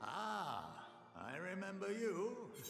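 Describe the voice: With clear background noise and a slight echo, a man performs a put-on character voice at a high pitch.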